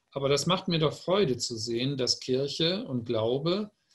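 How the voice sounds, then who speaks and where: A somewhat breathy, fairly high male voice with ordinary pitch variation. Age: 60s. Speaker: publisher. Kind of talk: panel discussion.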